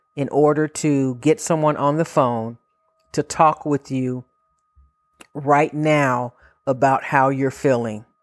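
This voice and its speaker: A woman speaks at a very slow pace in a very deep, low pitch, with long, frequent pauses. The sound is dry and close, with no echo. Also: very clean recording, silent background. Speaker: mental health podcast host. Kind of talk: solo motivational pep talk to listeners in crisis, urging them to keep living. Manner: earnest, pleading warmth, speaking directly to you; reassuring and repetitive, with slogan-like encouragements.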